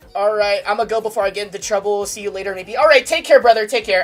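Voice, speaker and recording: A woman talks loudly at a very fast pace. Her pitch is medium. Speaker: gaming streamer. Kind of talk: casual chat. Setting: livestream. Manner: animated.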